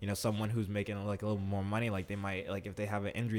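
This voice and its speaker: Here a man talks at a very fast pace with an American accent. His intonation is monotone and flat. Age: 20s. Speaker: professional athlete. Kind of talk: casual interview.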